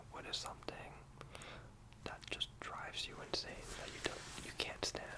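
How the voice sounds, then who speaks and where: Whispered male speech at a moderate pace, with noticeable background noise behind it. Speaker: ASMR creator doing a job interviewer roleplay. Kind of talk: ASMR roleplay, casual talk to the listener. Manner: soft-spoken, friendly.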